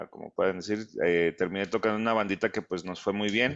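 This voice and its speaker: Fairly low male speech in a flat monotone. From United States. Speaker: guitarist. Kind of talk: casual interview chat.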